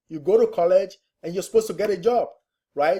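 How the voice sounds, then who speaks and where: At a very fast pace, a man with a non-native accent speaks in a dark, mellow tone with ordinary pitch variation. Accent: foreign. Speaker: real estate investor and trainer. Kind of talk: webinar presentation. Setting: online webinar. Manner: conversational, with frequent fillers.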